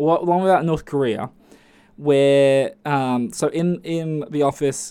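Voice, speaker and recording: The speaker is a man with an Australian accent. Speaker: podcast host. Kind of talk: casual monologue. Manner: animated.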